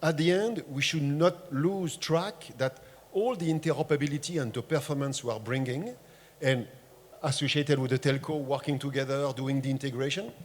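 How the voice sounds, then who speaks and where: A man speaks at a fairly quick pace with a French accent, his pitch fairly high and his pitch variation ordinary. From France. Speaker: tech industry panelist. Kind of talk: panel discussion.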